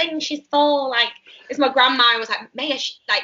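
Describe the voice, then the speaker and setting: A woman speaks in a Mancunian accent. Her pace is fairly quick. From northern England, Manchester. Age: 20s. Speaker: musical theatre actress. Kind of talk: casual interview chat. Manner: chatty, many fillers like um and like.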